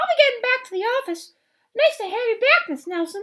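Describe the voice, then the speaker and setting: A woman puts on a squeaky character voice at an extremely high pitch, racing at a very fast pace with very wide pitch swings. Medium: read story. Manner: formal, slightly pompous.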